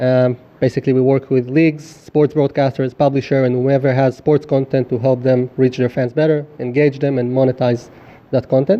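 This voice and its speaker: Speaking at a moderate pace and a medium pitch, a man keeps a monotone, flat intonation and very even loudness. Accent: Israeli. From Israel. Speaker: startup founder pitching. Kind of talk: product pitch in live Q&A. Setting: stage with live audience.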